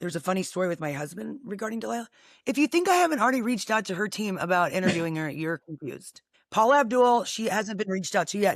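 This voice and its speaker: A woman talks at a very fast pace in a medium pitch. Her tone is animated and her intonation lively. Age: 40s. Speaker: podcast host. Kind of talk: casual chat.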